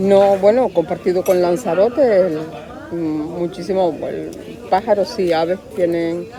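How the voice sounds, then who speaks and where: A woman at medium pitch with ordinary pitch variation, at a fairly slow pace, amid noticeable background noise. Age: 60s. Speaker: archaeologist. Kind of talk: interview testimony. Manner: halting.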